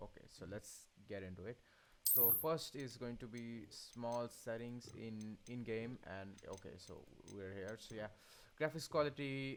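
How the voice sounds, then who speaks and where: With a non-native accent, a man talks at a fairly slow pace and a medium pitch, showing ordinary pitch variation. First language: not English. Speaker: gaming tutorial youtuber. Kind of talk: tutorial. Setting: voiceover over screen capture. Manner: stuttering; halting, many fillers.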